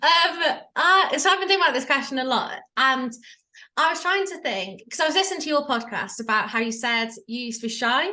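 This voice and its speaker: A woman with an English accent uses a raised, projected voice, high in pitch with a bright, sharp tone. She speaks at a fairly quick pace with lively intonation, and the room echo is audible. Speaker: life coach. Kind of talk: interview. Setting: video call. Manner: loud.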